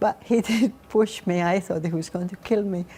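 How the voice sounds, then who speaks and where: In a Spanish accent, a woman talks at a moderate pace with a dark, mellow tone and ordinary pitch variation. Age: 60s. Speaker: author. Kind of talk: TV interview. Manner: halting.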